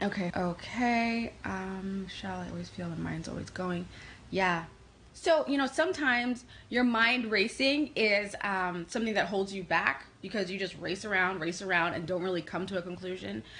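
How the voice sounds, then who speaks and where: In a New York accent, a woman speaks at a moderate pace with a medium pitch, a bright, sharp tone and ordinary pitch variation. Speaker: psychic and life coach. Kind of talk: live channeled reading for online group.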